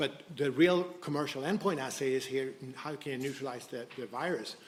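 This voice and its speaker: Speaking in a Swedish accent, a man holds a medium pitch and fairly even intonation, with audible room echo. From Sweden. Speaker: biotech company co-founder. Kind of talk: conference presentation. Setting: stage with audience. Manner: halting, many false starts.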